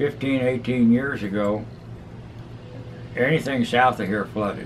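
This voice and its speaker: Over noticeable background noise, a man speaks at a fairly slow pace with fairly even intonation. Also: medium pitch for a man. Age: 80s+. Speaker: market master and antiques dealer. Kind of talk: interview answer.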